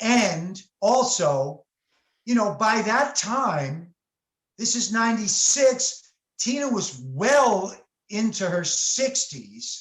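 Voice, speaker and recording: The speaker has an American accent and lively intonation. The pace is very slow. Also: man, high pitch for a man. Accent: New York Italian. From New York. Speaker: session saxophone player. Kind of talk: interview.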